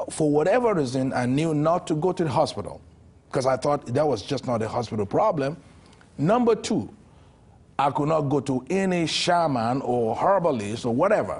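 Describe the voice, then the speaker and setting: A man with a fairly high voice talks at a moderate pace, his pitch swinging very widely. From Nigeria. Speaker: geologist and minister. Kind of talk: testimony.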